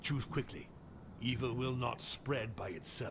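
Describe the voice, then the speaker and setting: A man puts on a character voice at a medium pitch and a moderate pace. Background noise is clearly audible. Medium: machinima. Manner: commanding, impatient.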